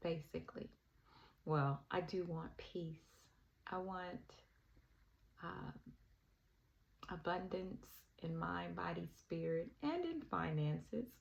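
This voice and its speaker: A woman talks at a very slow pace with a Southern US accent. Her speech has long, frequent pauses. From US South, Alabama. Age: 60s. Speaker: spiritual vlogger. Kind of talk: personal reflection monologue. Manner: hesitant, with filler ums.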